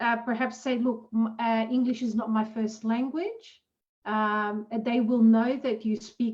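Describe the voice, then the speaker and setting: Speaking fairly slowly with a non-native accent, a woman keeps a fairly high pitch and monotone, flat intonation. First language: not English. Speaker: career workshop panelist. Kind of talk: online panel discussion.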